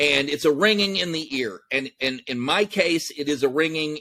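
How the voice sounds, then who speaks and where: Loud and bright with a sharp tone, a man with an American accent speaks at a moderate pace and a fairly high pitch, showing ordinary pitch variation in a dry, close recording with no echo. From Texas. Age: 50s. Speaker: entrepreneur, army veteran. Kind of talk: interview.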